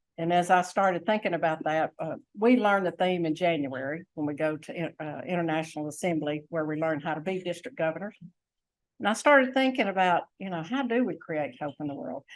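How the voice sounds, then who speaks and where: A fairly low-pitched woman's voice with a Southern US accent, lively intonation and a fairly quick pace. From US South, Tennessee. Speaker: club district leader, speaker. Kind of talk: speech to club meeting. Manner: quiet.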